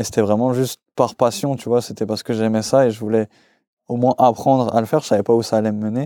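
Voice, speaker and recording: A man speaks very fast at a medium pitch with a dark, mellow tone and fairly even intonation, on a very clean recording with a silent background. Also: dry, close sound with no echo. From Alsace, France (Mulhouse). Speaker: DJ and music producer. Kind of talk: casual interview chat. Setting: in person, Mulhouse.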